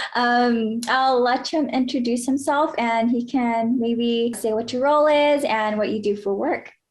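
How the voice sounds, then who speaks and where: With hardly any pauses, a woman speaks at a fairly slow pace in a high pitch, with very even loudness and fairly even intonation, and audible room echo is present. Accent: American. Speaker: YouTuber. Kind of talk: interview.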